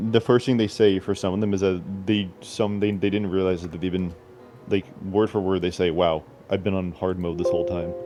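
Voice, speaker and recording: Music plays in the background as a man speaks at a fairly quick pace and a fairly low pitch. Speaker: gaming podcast host. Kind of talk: casual chat. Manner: halting.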